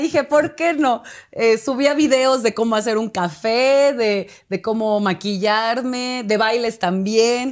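A woman's high-pitched voice with lively intonation at a very slow pace, against a quiet background. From Mexico, Oaxaca city. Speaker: actress. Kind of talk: casual interview chat. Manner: halting, many fillers. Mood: cheerful, animated. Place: studio.

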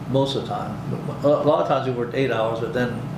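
Noticeable background noise sits behind a man speaking with an American accent. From Michigan. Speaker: air force veteran. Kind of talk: oral history interview. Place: meeting room.

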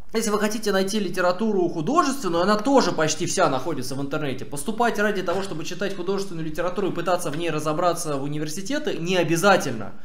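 A man talks very fast, and the room echo is audible. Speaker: streamer. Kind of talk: stream commentary answering chat. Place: home room.

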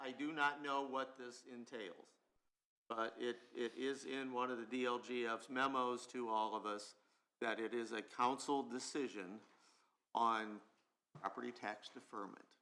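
A man's bright, sharp voice at medium pitch and a fairly slow pace. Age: 60s. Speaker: county council member. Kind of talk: public meeting discussion. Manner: halting, repeats words.

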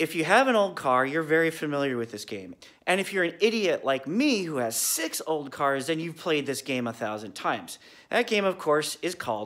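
Against a quiet background, a man's voice moves in very wide pitch swings. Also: moderate pace. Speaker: car hobbyist vlogger. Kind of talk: casual vlog chat. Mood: wry, self-mocking. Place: garage. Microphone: phone near.

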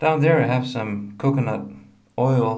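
Fairly slow speech with ordinary pitch variation over light background noise. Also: man. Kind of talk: casual show-and-tell tutorial. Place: bathroom. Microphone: phone near.

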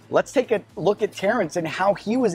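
Recorded dry with no echo, a man speaks at a moderate pace while faint music plays in the background. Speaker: student pastor. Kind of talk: sermon. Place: cafe. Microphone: lapel.

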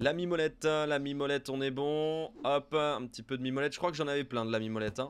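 Delivered at a fairly quick pace, the speech carries a slight southern French accent. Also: man. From southern France (Montpellier area); southern France. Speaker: gaming YouTuber. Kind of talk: let's play commentary. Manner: casual, hesitant with many fillers. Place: home room.

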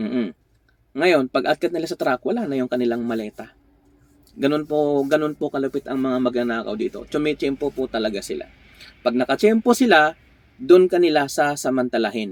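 Pitched fairly high, a man with an ordinary speaking voice talks at a fairly quick pace with lively intonation in a dry, close sound with no echo. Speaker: vlogger and truck driver. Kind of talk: casual vlog monologue.

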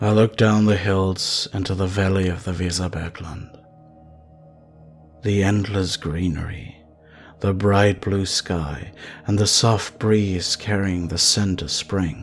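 At a fairly slow pace, a man with a very deep, low voice speaks with fairly even intonation while clear music plays in the background. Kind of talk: ASMR storytelling. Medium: read story. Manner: soft, somber, reflective.

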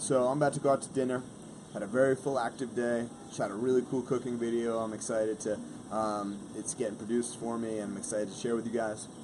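The speech comes at a very fast pace with monotone, flat intonation. Noticeable background noise runs underneath. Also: man. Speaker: fitness vlogger. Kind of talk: casual vlog chat. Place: garden. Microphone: phone near.

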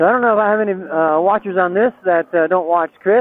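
A man's high voice at a very fast pace, with ordinary pitch variation and a dry sound with no echo. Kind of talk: casual vlog chat. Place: motorbike. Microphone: helmet.

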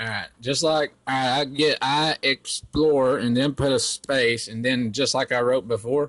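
In an ordinary speaking voice, a man talks at a medium pitch and a fairly slow pace, with fairly even intonation, hardly any pauses, and a dry, close sound with no echo. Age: 20s. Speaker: prank caller baiting a scammer. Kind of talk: prank phone call.

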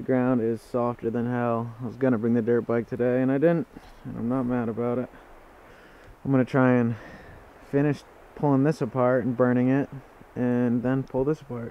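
A man's monotone, flat delivery at a moderate pace, with long, frequent pauses and a dry sound with no echo. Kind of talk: casual vlog chat. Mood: mildly annoyed, relaxed. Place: open country.

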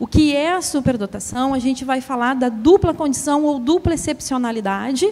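A woman's high voice at a moderate pace with lively intonation. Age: 40s. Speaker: association president and specialist on giftedness; presenter. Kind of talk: lecture; public talk, lecture. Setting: stage with audience, livestreamed. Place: stage.

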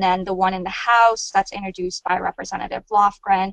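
A plain, everyday voice with fairly even intonation, dry sound with no echo and a quiet background. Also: woman. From Iran, raised in US. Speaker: policy lobbyist. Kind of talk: webinar presentation. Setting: webcast. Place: office. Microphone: earbuds.

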